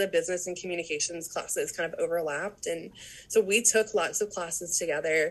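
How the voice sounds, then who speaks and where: Noticeable background noise accompanies a woman whose speech runs at a fairly quick pace. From South Louisiana, Cajun area (St. Martinville). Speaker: recruitment specialist, former university supervisor. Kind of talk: casual interview chat.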